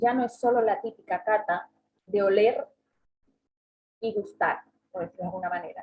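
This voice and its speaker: A woman speaks with a fairly high pitch. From southern Spain (Andalusia). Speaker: travel agent and workshop speaker. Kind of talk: online seminar talk. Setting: online seminar.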